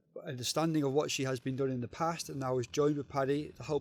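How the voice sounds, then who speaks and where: A man speaks with a Liverpool accent in a fairly high pitch. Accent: Liverpool (Scouse) English. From northern England, Liverpool. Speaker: diving organisation regional manager. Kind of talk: casual podcast interview.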